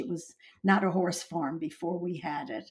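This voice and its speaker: Taking a fairly slow pace, a woman talks in a somewhat breathy voice. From Long Island, New York. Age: 80s. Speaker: horse breeder and owner. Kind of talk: interview storytelling.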